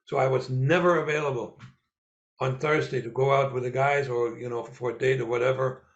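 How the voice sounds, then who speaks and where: A man with a medium-pitched voice and vocal fry talks at a moderate pace. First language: Russian. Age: 70s. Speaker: former spy and author. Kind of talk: interview. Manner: halting, with many fillers and repeats.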